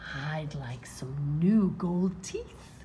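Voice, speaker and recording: A woman puts on a character voice with a very deep, low pitch. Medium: read story. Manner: eager, comic.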